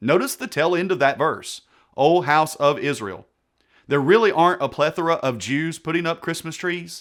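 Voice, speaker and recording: A man with a fairly high pitch speaks at a moderate pace on a very clean recording with a silent background. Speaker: pastor and Bible teacher. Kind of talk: sermon-style Bible teaching talk to camera. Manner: sarcastic, explanatory.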